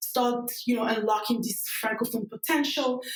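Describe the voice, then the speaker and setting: Over noticeable background noise, a woman with a fairly high pitch talks at a fairly quick pace with a French accent. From Cameroon. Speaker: tech startup cofounder. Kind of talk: podcast interview. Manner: halting, many fillers.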